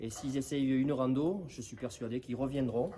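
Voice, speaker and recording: A man's medium-pitched voice carries a dark, mellow tone and fairly even intonation. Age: 60s. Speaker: farmer and riding association president. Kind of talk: interview. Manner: hesitant, many fillers.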